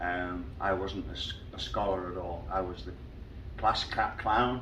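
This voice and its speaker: A man with an English accent, with audible room echo. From Liverpool, England. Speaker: professional singer. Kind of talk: interview.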